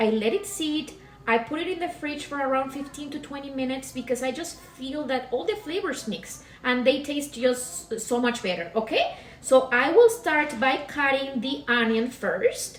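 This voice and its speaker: Through noticeable background noise and audible room echo, a woman with a Mexican accent speaks at a high pitch and moderate pace with lively intonation. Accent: Latin (Mexican Spanish). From Mexico, Pacific coast, Guerrero. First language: Spanish. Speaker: cooking demonstrator, real estate agent. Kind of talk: cooking demonstration. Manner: hesitant, many fillers.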